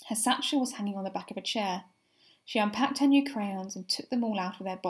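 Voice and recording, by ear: Reading aloud, this voice sounds natural.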